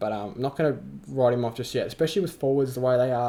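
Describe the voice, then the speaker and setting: The tone is dark and mellow, with an Australian accent. Intonation stays fairly even. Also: man. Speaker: fantasy football youtuber. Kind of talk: casual vlog commentary. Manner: halting, filler-heavy.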